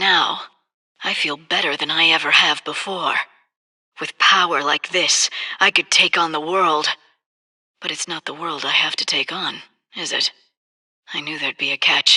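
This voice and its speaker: A put-on character voice sits at a middle pitch, broken by long, frequent pauses. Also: moderate pace. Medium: video game. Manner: wry, self-justifying.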